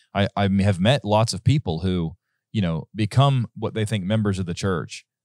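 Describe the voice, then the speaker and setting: A man speaks fairly quickly in a fairly low voice with ordinary pitch variation. The sound is dry with no echo, against a quiet background. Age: 30s. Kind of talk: casual Bible study discussion. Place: studio. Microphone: studio mic.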